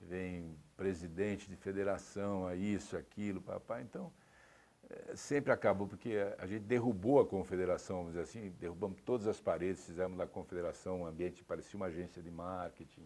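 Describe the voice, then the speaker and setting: The man's pitch is very deep and low, his tone dark and mellow. He speaks at a fairly quick pace. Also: ordinary pitch variation. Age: 60s. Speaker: sports executive. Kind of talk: interview. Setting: TV studio.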